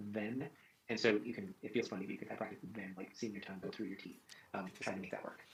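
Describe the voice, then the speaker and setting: At a very fast pace, a man with an American accent speaks in a fairly low pitch with fairly even intonation. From US Midwest. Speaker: conductor and vocal coach. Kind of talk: coaching session feedback. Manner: hesitant, many fillers.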